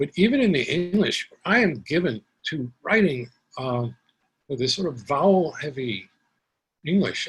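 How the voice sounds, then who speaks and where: A man speaks with a New York accent at a moderate pace. His intonation is lively. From Brooklyn, New York, Puerto Rican family. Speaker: poet. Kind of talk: Q&A after poetry reading. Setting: video call.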